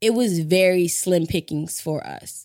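Her tone is animated, and her pitch sits in the middle range for a woman. The recording is very clean, with a silent background. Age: 30s. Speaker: podcast host, creative director. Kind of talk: casual monologue.

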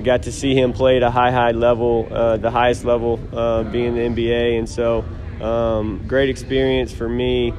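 Amid noticeable background noise and audible room echo, a man speaks at a moderate pace. His medium-pitched delivery is monotone and flat. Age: 30s. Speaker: college basketball coach. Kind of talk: casual interview. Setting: media day event.

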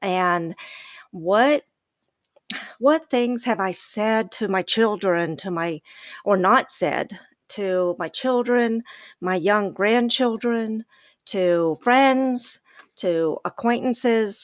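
In a very clean recording with a silent background and a dry, close sound with no echo, a woman with a Southern US accent speaks at a very slow pace in a fairly high voice, with ordinary pitch variation and long, frequent pauses. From US South. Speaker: podcast guest, host's mother. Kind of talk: casual chat. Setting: recording in a closet.

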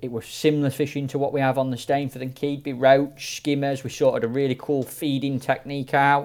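This man speaks in a South Yorkshire accent. His voice is fairly high. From South Yorkshire, mining village near Sheffield/Rotherham. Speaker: match angler. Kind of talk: casual chat.

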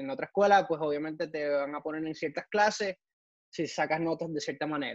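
The speaker is a man with a plain, everyday voice. He talks at a fairly high pitch with lively intonation. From Ecuador, raised partly in Puerto Rico. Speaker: NASA engineer. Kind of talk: interview.

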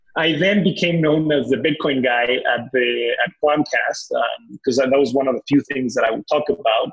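A man's fairly high voice with a Spanish accent and ordinary pitch variation. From Mexico. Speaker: crypto exchange CEO. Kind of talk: interview. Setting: podcast recording. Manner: repetitive false starts.

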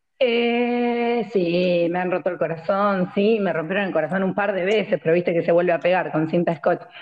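A woman with an Argentine accent speaks at a medium pitch with hardly any pauses. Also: ordinary pitch variation, moderate pace. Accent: Rioplatense Argentine Spanish. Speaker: podcast co-host. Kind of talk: casual chat. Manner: loud.

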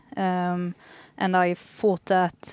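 A woman speaks at a medium pitch with a Swedish accent. The recording is very clean, with a silent background and a dry, close sound free of echo. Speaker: football journalist. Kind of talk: casual panel chat.

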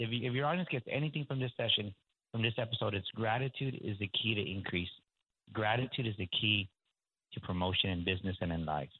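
A man at a very fast pace, energetic in tone, with lively intonation. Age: 40s. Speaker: executive coach. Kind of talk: interview.

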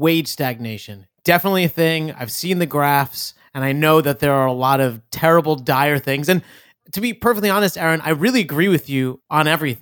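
In a very clean recording with a silent background and a dry, close sound with no echo, a man with an unremarkable speaking voice talks at a fairly quick pace, fairly high in pitch and lively in intonation. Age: 30s. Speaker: podcast co-host. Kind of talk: casual chat.

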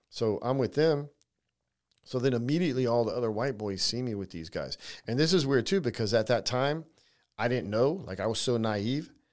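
Speaking in an ordinary speaking voice, a man keeps a medium pitch, a fairly quick pace and lively intonation in a very clean recording with a silent background. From California (Navy brat, moved around). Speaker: writer-director, former prisoner. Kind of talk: interview storytelling.

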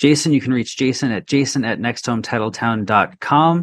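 An ordinary speaking voice moves at a fairly quick pace. The intonation is fairly even. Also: man. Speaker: podcast co-host, real estate professional. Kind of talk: interview questions, conversational. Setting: Boston.

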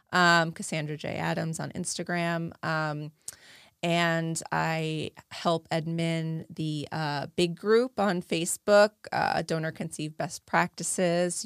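Recorded very cleanly against a silent background, a woman speaks at a fairly slow pace with a fairly low pitch. She has an ordinary speaking voice, and the sound is dry and close with no echo. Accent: American. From New Jersey. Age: 40s. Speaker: advocate. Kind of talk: interview. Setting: studio.

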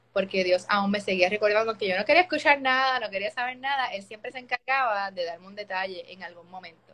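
A woman talks in a bright, sharp tone at a medium pitch. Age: 30s. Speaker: opera-trained singer. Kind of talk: testimony. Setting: Instagram live video call.

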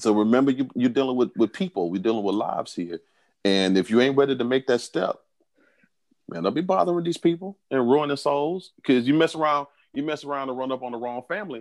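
Against a quiet background, a man with a Southern US accent speaks very fast at medium pitch, his intonation lively. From US South. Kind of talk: casual chat. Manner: animated.

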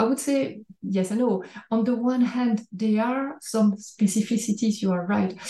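A woman at a fairly high pitch, moderate pace, dark, mellow tone and ordinary pitch variation

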